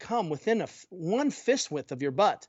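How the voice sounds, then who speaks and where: A man's animated tone. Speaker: physical therapist and mobility coach. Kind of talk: podcast interview. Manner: fast.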